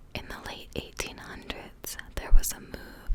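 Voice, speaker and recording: Whispered words from a woman, fairly slow, with clear background noise around them. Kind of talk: whispered reading of informational text about holiday history.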